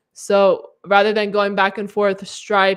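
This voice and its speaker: A woman is speaking. The background is quiet. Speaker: software developer live-streaming their build. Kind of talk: live coding stream. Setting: live stream with screen share. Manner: fast; halting, many fillers and restarts.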